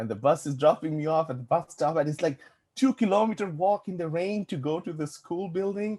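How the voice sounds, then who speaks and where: A man talks at a moderate pace with a Bangladeshi accent. His pitch is fairly high, and the sound is dry and close with no echo. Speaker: VFX and animation production manager. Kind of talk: casual chat. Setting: podcast interview.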